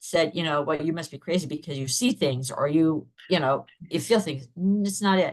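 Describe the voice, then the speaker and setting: A woman with a fairly low pitch, an ordinary speaking voice, ordinary pitch variation and a moderate pace. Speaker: podcast host. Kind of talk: casual interview.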